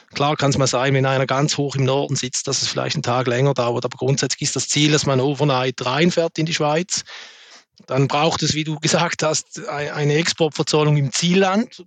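Speaking at a moderate pace with fairly even intonation, a man with a fairly high voice is heard in a dry, close recording with no echo. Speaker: logistics sales executive. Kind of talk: business panel discussion. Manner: halting, many fillers.

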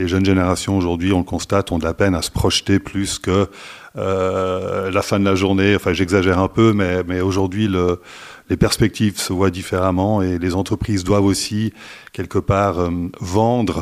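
Monotone and flat, a man speaks at a very deep, low pitch. The recording is very clean, with a silent background. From Switzerland (French-speaking). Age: 50s. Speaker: staffing company executive. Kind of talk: interview. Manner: hesitant with fillers and repetitions.

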